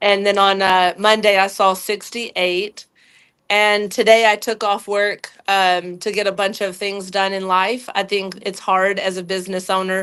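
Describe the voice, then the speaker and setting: Against a quiet background, a woman with a Texan accent speaks fairly slowly at a medium pitch in a monotone, flat intonation. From Texas, near Galveston. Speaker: animal and human chiropractor. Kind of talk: interview.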